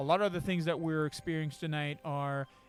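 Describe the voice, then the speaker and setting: A man talks at a very fast pace. His fairly high pitch holds a monotone, flat intonation. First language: not English. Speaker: dungeon master. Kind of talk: casual chat. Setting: live stream. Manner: halting.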